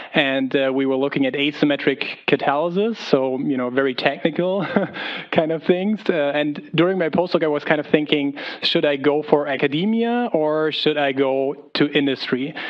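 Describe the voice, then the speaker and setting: A moderate pace in a German accent, with noticeable background noise. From Germany. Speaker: pharmaceutical chemist. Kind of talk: career panel talk. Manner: hesitant, many fillers.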